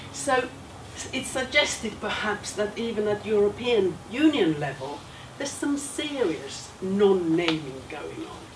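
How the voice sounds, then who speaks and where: Amid noticeable background noise and audible room echo, a woman with a Finnish accent speaks fairly slowly in a fairly high voice, with very wide pitch swings and big swings in loudness. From Finland. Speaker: education professor. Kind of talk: lecture.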